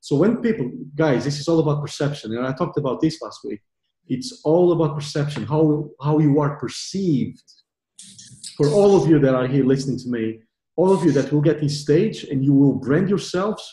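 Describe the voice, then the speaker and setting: A man speaks at a moderate pace, his pitch fairly high with ordinary variation. His tone is dark and mellow and somewhat breathy. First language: not English. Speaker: online marketing coach. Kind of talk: group training call. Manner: animated.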